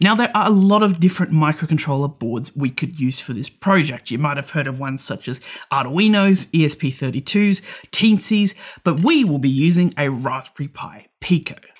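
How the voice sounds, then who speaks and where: A man's lively intonation at a moderate pace, with a quiet background. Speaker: electronics educator. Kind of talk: tutorial. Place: studio.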